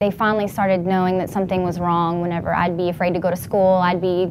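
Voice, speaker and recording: A woman speaks at a medium pitch with an American accent. Her intonation is monotone and flat. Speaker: person who stutters, interviewee. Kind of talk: interview answer, personal testimony. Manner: hesitant, with stuttering, repetitions and blocks.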